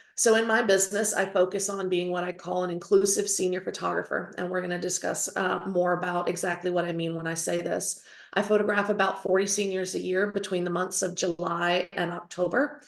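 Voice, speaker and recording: A strong Southern US accent runs at a fairly quick pace with hardly any pauses. The intonation is monotone and flat. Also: woman, medium pitch for a woman. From North Carolina. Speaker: photographer and educator. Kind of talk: lecture.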